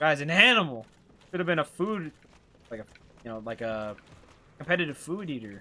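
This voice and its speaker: A man with a Canadian accent, fairly high in pitch, with very wide pitch swings, big swings in loudness, a fairly quick pace broken by long, frequent pauses, and noticeable background noise. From Canada. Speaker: video game streamer. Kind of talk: live gameplay commentary and chat with viewers. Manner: harsh pronunciation.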